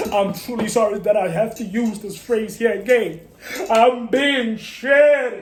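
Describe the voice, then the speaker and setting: Amid noticeable background noise, a man talks in a high pitch with ordinary pitch variation. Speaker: sports commentary channel host. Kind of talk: casual sports opinion monologue. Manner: loud; animated.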